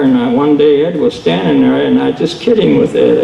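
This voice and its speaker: A man's fairly high pitch comes through noticeable background noise. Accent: American. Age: 70s. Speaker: retired drag racer and engine dyno operator. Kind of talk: panel talk, personal storytelling. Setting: museum panel with audience.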